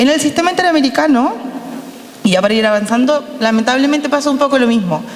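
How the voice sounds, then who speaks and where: Speaking at a fairly quick pace with lively intonation, a woman is heard over noticeable background noise. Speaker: lawyer, panel speaker. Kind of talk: panel talk. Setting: panel with audience. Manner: fast.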